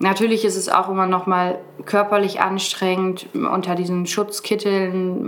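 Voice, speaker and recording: Through noticeable background noise and audible room echo, a woman of medium pitch speaks very slowly in a flat monotone. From northern Germany (Brake, Lower Saxony). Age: 20s. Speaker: hospital volunteer and nursing trainee. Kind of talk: podcast interview.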